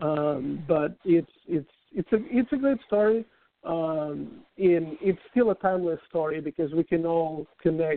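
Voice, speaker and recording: A man with a non-native accent, high pitch, ordinary pitch variation and a fairly slow pace. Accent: foreign. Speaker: author and team historian. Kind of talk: interview, casual chat.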